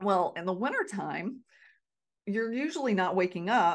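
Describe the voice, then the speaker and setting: In a plain, everyday voice, a woman with an American accent speaks at medium pitch and a moderate pace against a quiet background. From North Carolina. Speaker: podcast host, Alzheimer's prevention educator. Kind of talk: solo podcast talk.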